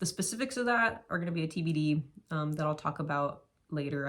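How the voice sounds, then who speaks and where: A woman with an American accent at a very deep, low pitch, speaking at a moderate pace. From US West Coast, San Diego. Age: 20s. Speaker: vlogger, post-collegiate runner. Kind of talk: casual vlog monologue. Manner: casual, hesitant with fillers.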